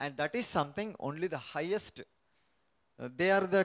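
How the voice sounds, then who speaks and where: A man speaks in a high pitch with lively intonation. The background is quiet. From Chennai; India. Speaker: researcher in English literature; guest. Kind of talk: panel discussion. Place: studio. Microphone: handheld.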